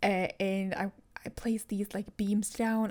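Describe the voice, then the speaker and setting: Her voice sits at medium pitch, and this woman moves at a moderate pace. The intonation is monotone and flat. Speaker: Sims speed build YouTuber. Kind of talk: gameplay voiceover tutorial. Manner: casual, rambling with self-corrections; soft-spoken.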